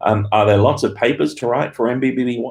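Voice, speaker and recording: With an Australian accent, a man speaks in fairly even intonation. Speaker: university lecturer. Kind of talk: live Q&A stream. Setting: office, live stream from laptop. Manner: hesitant with fillers.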